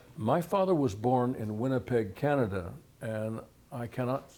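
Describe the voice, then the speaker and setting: A man with an American accent has a dark, mellow tone and ordinary pitch variation. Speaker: retired history professor. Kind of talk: interview. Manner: halting.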